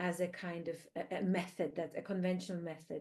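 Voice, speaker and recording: A woman with a non-native accent speaks in a fairly low pitch with a dark, mellow tone. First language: not English. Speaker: researcher, panelist. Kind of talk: panel discussion.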